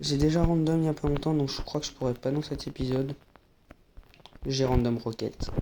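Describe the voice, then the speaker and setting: A soft-spoken man talks at a moderate pace. His pitch is medium. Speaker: gaming YouTuber. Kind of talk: gameplay commentary.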